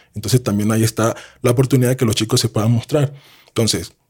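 This voice moves at a very fast pace, somewhat breathy, with fairly even intonation. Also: man. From Colombia. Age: 30s. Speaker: sports analyst and former basketball player. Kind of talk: casual interview.

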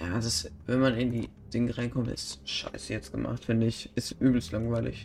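With background noise clearly audible, a man talks in a mid-range pitch that varies in the usual way. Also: moderate pace. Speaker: gaming YouTuber. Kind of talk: let's play commentary. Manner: casual, animated.

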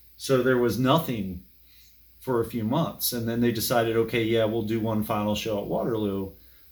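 With fairly even intonation and a moderate pace, this is an unremarkable speaking voice. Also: man, medium pitch for a man. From Maryland, DC suburbs. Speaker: music fan and archivist. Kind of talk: casual chat.

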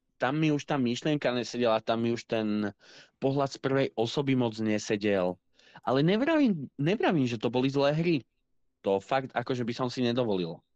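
A man with an ordinary speaking voice talks at a moderate pace in a medium pitch, with ordinary pitch variation and very even loudness, in a dry, close sound with no echo against a quiet background. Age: 20s. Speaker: podcast co-host, gamer. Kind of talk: casual chat.

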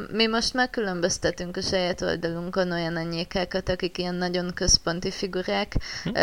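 A woman's unremarkable speaking voice, fairly low-pitched, at a fairly quick pace with fairly even intonation. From Borsod county, northeastern Hungary. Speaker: forum roleplay writer. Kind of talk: casual chat.

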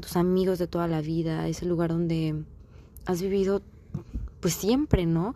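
A woman with a fairly low voice talks at a moderate tempo. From Mexico. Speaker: podcast host. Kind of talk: casual monologue.

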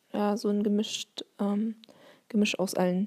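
A woman talks at a very slow pace with a medium pitch and a dark, mellow tone. The sound is dry and close, with no echo. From Bavaria, Germany. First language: Turkish (speaking German). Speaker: teacher and podcaster. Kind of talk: solo monologue. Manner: hesitant, many fillers.

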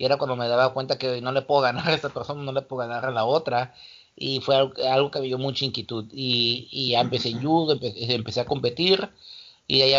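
A man talks at a fairly quick clip in an ordinary speaking voice. His pitch sits in the medium range. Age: 40s. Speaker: martial arts coach. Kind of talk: casual interview.

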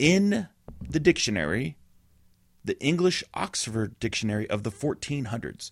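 Showing vocal fry, a man talks at a moderate pace and medium pitch, with very wide pitch swings. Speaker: podcast co-host. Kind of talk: casual banter. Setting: studio.

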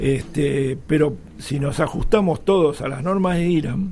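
A man speaks at a fairly slow pace. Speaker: elevator engineer. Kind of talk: radio interview.

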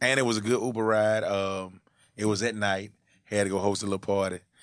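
This man talks at a fairly quick pace with an Atlanta accent and a fairly low pitch. His delivery is monotone and flat over a quiet background. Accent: Southern US, Atlanta. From Atlanta, US South. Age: 30s. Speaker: comedian and internet personality. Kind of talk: casual chat. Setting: studio.

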